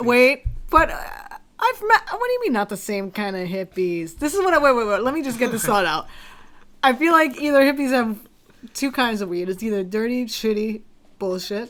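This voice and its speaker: Her pitch fairly high and her intonation lively, a woman talks at a fairly quick pace broken by long, frequent pauses. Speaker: musician, singer. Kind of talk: casual podcast conversation.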